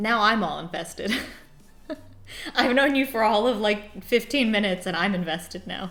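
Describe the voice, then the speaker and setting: Over noticeable background noise, a woman with a fairly high pitch speaks in an animated tone, leaving long, frequent pauses. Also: ordinary pitch variation, moderate pace. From Arizona, Phoenix. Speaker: video game streamer. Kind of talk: casual livestream chat. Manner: loud.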